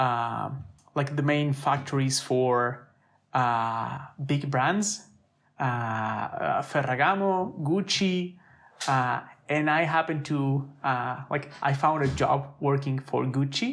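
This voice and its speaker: A man with an Italian accent at a very slow pace, with very even loudness and ordinary pitch variation. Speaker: designer. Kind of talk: podcast interview. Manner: halting, many fillers and repetitions.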